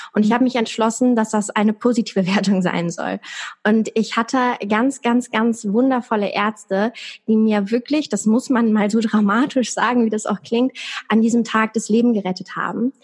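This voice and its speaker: At a moderate pace, a woman delivers fairly even intonation and very even loudness in a fairly high, somewhat breathy voice. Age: 20s. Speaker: stroke survivor. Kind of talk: interview.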